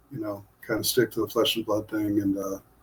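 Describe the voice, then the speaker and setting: A somewhat breathy man with an American accent. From US Midwest (Ohio). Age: 60s. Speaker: author and artist. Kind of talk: casual podcast interview. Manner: halting, many fillers.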